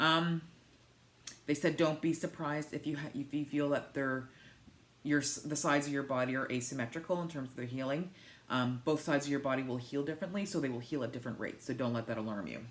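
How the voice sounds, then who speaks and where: Here a woman talks at a very fast pace. Her pitch varies in an ordinary way. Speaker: vlogger sharing weight-loss surgery journey. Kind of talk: casual vlog talk. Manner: high energy.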